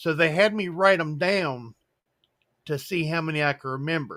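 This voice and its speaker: On a very clean recording with a silent background, a man with a bright, sharp tone and fairly high pitch talks at a moderate pace with ordinary pitch variation. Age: 70s. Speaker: coin collecting channel host. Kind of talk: casual chat. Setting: live stream.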